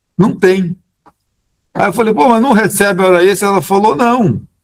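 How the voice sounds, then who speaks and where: At a moderate pace, a man talks in a high voice. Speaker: labor court judge. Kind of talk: Q&A answer at a training event. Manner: halting, with many false starts.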